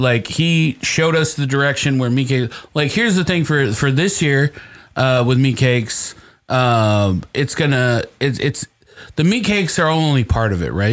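A man's plain, everyday voice, medium pitch and moderate pace, with lively intonation and very even loudness. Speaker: podcast host. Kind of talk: casual comedy podcast banter. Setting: studio.

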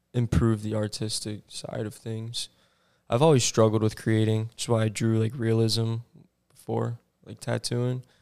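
This man has a plain, everyday voice, medium in pitch, with fairly even intonation and a moderate pace. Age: 20s. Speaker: tattoo artist and podcast co-host. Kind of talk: casual chat. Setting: studio.

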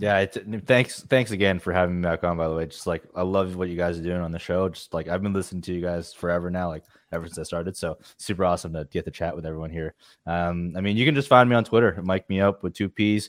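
The recording is very clean, with a silent background. The speech moves at a very fast pace with ordinary pitch variation. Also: man, very deep, low pitch for a man. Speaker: fantasy football writer. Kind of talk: casual chat.

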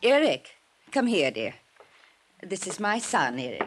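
A woman puts on a character voice with a fairly low pitch, a slightly husky edge and big pitch swings. She speaks slowly as faint music plays behind her.

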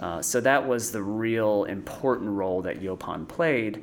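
A man of fairly low pitch at a moderate pace, with an American accent and an ordinary speaking voice. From Florida, New Smyrna Beach. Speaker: tea company co-founder. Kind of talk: interview.

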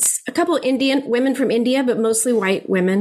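A woman with an American accent speaks at a moderate pace and a fairly high pitch. She has a plain, everyday voice, with ordinary pitch variation. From Philippines (American missionary family). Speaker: anti-racism course creator, adoptive mother. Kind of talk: interview. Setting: remote call.

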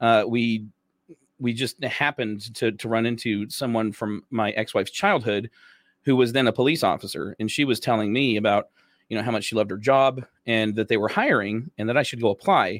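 With a normal speaking voice, a man talks at a fairly quick pace and medium pitch with fairly even intonation, in a dry, close sound with no echo. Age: 40s. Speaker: former police officer and author. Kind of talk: casual interview. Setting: video call.

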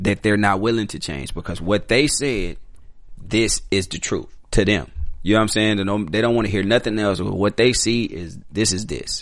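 A man with an American accent and a normal speaking voice, fairly low in pitch, at a moderate pace with ordinary pitch variation. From Chicago, US. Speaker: actor. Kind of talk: casual chat. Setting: studio.

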